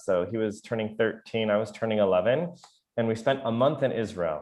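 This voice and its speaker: With an American accent, the speaker has a normal speaking voice. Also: man. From US Midwest, Chicago. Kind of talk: online lecture. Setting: video call. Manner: casual, with many fillers.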